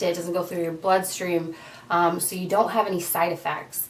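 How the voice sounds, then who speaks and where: The speech runs in a monotone, flat intonation against noticeable background noise. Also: woman. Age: 30s. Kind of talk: casual talk to camera.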